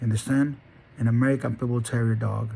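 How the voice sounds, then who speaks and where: Somewhat breathy, a man speaks at a medium pitch. His tone is dark and mellow. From Honduras. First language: Spanish. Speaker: dog breeder. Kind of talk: motivational monologue. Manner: halting; emphatic.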